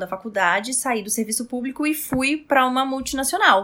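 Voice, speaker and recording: High in pitch, a woman's voice sounds animated, with ordinary pitch variation. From Brazil, Roraima. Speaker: style consultant. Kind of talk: casual interview chat.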